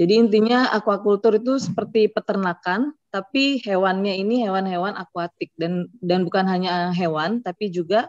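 A woman's voice at a fairly quick pace with ordinary pitch variation, dry with no echo, over a quiet background. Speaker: aquaculture PhD researcher; webinar presenter. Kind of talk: webinar presentation. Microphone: video call.

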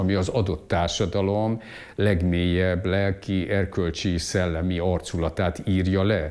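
Against a quiet background, a man talks with a very deep, low pitch and fairly even intonation. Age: 60s. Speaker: economist and lecturer; interviewee, teacher. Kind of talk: interview monologue; interview answer. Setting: at home. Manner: halting, repetitive. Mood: calm, reflective. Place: home room. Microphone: lapel.

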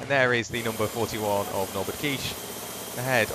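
Very fast, animated speech from a man over noticeable background noise. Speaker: race commentator. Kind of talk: race highlights commentary, voiceover. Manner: fluent, brisk and animated, describing on-track action.

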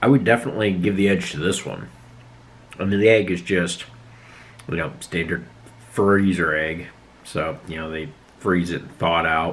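A man with a very deep, low pitch speaks at a moderate pace with ordinary pitch variation. His loudness swings widely, and he takes long, frequent pauses. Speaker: food reviewer. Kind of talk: casual vlog chat. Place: home room. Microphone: phone near.

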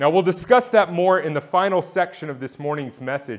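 Lively intonation from a man, with a quiet background. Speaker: church elder, sermon preacher. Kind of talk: sermon preaching to a congregation. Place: church. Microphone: lapel.

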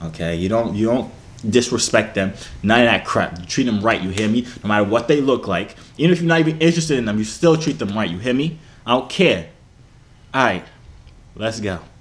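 A man talks at a fairly quick pace. He leaves long, frequent pauses. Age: 20s. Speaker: YouTuber. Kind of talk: casual chat. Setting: video call. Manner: animated. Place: gym.

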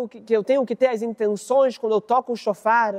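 A man with a Brazilian accent, extremely high in pitch, warm and animated in tone, over a quiet background. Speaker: rabbi. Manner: narrative, warm and animated, acting out the dialogue of master and student. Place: studio.

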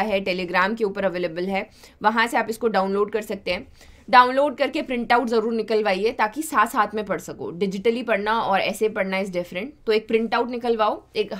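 A woman talks with ordinary pitch variation at a moderate pace, and the background is quiet. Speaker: exam coaching teacher. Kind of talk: lecture.

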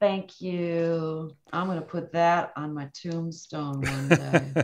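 Over light background noise, a woman speaks very slowly at a fairly low pitch, with big swings in loudness. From near the Canadian border. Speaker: recording engineer; guest. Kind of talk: casual chat; interview answer. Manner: animated. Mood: animated, enthusiastic storytelling. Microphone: video call.

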